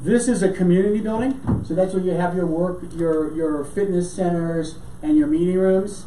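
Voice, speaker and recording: Against noticeable background noise, the talking proceeds at a moderate pace. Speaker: city planning staff presenter. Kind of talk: staff presentation at council meeting. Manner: halting with fillers and repeats.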